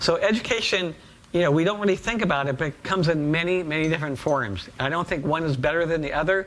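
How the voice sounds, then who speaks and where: A man's high-pitched, animated voice with ordinary pitch variation, over noticeable background noise. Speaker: professor. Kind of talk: lecture.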